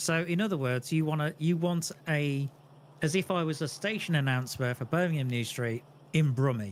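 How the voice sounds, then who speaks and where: Moderate pace in an English accent. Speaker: gamer chatting while playing.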